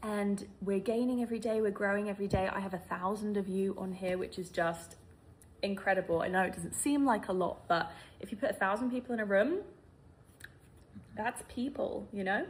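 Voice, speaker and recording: A woman's somewhat breathy, medium-pitched voice with a British accent, fairly quick in pace, with ordinary pitch variation. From UK. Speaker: vlogger. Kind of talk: sit-down serious chat.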